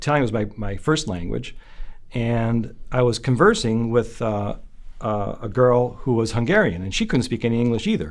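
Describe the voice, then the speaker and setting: At a moderate pace, a man with a western New York accent speaks at a medium pitch with ordinary pitch variation. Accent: American, western New York. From Buffalo, New York, US. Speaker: son of the honoree. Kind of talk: interview. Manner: halting, many fillers.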